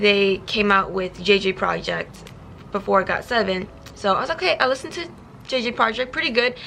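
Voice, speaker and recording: A woman at a medium pitch talks at a fairly quick pace with ordinary pitch variation, and noticeable background noise can be heard. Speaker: YouTuber. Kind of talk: storytime vlog. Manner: fast; stumbles over words.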